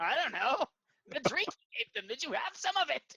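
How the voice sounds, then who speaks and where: Pitching his put-on character voice extremely high, a man speaks. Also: moderate pace. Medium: actual play.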